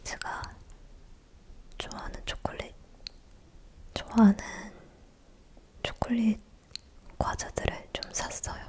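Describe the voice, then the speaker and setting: Very slow whispering with long, frequent pauses and noticeable background noise. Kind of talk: ASMR eating and casual chat. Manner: soft-spoken, less whispered.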